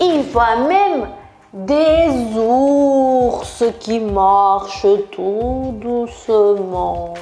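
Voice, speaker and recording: In a Brazilian accent, the speaker uses very wide pitch swings and a playful, animated tone over music in the background. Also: woman. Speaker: yoga instructor, sports coach. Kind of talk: guided children's yoga story.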